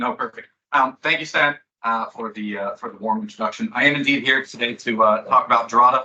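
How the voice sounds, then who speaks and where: A man with an American accent speaks at a medium pitch and a fairly quick pace. His bright, sharp tone has lively intonation and big swings in loudness. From Belgium. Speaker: sales manager. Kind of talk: presentation.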